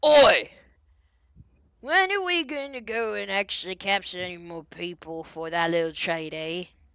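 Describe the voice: A woman puts on a gruff character voice. She speaks at a moderate pace and a medium pitch.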